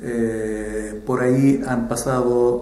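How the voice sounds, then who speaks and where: There is audible room echo and noticeable background noise. A man talks at a medium pitch with monotone, flat intonation. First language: Arabic (speaking Spanish). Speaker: ambassador. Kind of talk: interview. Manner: hesitant with fillers.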